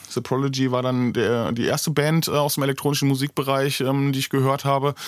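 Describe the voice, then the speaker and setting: This is a man speaking. His pitch is fairly high. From Germany, Bocholt area, North Rhine-Westphalia. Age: 30s. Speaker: DJ, music producer and mastering engineer. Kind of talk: interview. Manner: frequent fillers, hesitant.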